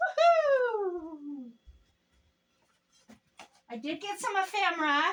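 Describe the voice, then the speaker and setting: A woman shouts in a squeaky, put-on character voice at an extremely high pitch. She speaks very slowly. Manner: shouting excitedly.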